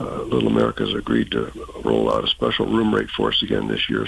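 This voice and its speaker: Noticeable background noise sits under this recording. A man talks at a very fast pace. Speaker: event organizer. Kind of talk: radio interview.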